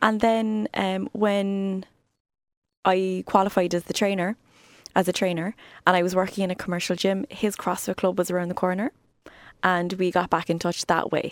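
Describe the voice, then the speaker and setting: On a very clean, dry, close recording with no echo and a silent background, a woman with a Cork accent speaks at a moderate pace and medium pitch, with fairly even intonation and long, frequent pauses. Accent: Cork Irish. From Ireland, Cork. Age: 30s. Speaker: fitness trainer. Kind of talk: casual chat. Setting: studio.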